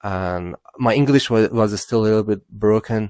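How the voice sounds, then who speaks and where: On a very clean recording with a silent background and a dry, close sound with no echo, a man with a Persian accent speaks at a fairly low pitch, a fairly slow pace and with fairly even intonation. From Iran. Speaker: content creator. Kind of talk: personal life story monologue. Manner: halting, many fillers.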